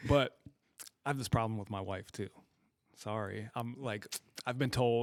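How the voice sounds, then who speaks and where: At a moderate pace, a man speaks with fairly even intonation and a medium pitch. He leaves long, frequent pauses. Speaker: podcast conversation participant. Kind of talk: casual chat. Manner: condescending-sounding tone; calm, not a screamer.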